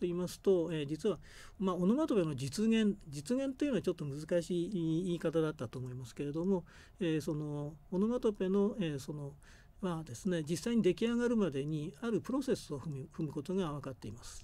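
On a very clean recording with a silent background, a man with a high pitch and a dark, mellow tone speaks at a fairly quick pace with lively intonation. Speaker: university professor of Japanese linguistics. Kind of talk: lecture. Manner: halting with frequent fillers.

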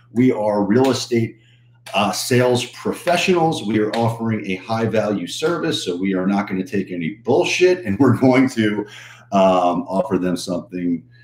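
A man's fairly low voice at a moderate pace, with audible room echo. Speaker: coach. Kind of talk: livestream talk to viewers. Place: office. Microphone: webcam.

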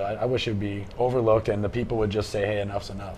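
This man has a normal speaking voice at medium pitch, with an American accent. His intonation is fairly even, and there is light background noise. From Wisconsin. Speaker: libertarian activist, panel guest; guest. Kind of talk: panel discussion. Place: studio. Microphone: lapel.

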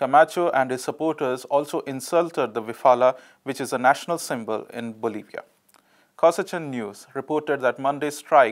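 In a very clean recording with a silent background, a man uses an ordinary speaking voice, fairly high in pitch, with ordinary pitch variation and a fairly quick pace. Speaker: news presenter. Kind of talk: news reading, scripted headlines and reports. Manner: formal, steady, neutral newsreader delivery.

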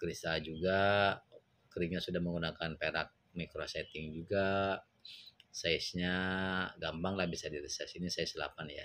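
A man at a moderate pace with long, frequent pauses. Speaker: gemstone seller. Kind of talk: sales pitch, pitchman-style product showcase with exclamations of praise. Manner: animated, excitable, repeating 'wow' and 'mantep' with hard-sell enthusiasm. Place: shop. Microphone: phone near.

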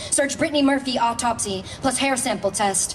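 A high-pitched woman talks at a fairly quick pace amid noticeable background noise. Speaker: poet and actress. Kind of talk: poetry reading. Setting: outdoors. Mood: calm, measured, list-like cadence. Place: stage. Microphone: podium.

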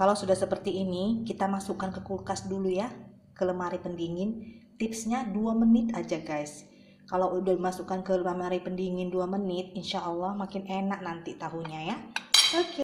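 Over light background noise, a woman speaks at a moderate pace with fairly even intonation. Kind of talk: cooking tutorial. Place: kitchen.

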